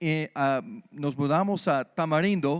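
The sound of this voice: A man with an American accent, a fairly high pitch, a clear, smooth tone and ordinary pitch variation, on a very clean recording with a silent background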